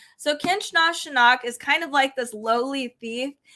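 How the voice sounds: A woman is speaking with a bright, sharp tone. Her pitch varies in an ordinary way.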